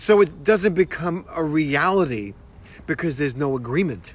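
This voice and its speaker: With a New York accent, a man talks in lively intonation. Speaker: motivational speaker. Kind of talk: motivational talk. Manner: casual, repetitive with many fillers.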